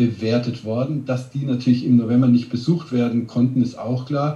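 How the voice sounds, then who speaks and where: Somewhat breathy and dark, mellow in tone, a man with a medium pitch speaks at a moderate pace amid audible room echo. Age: 50s. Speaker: restaurant ranking blogger. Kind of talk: interview.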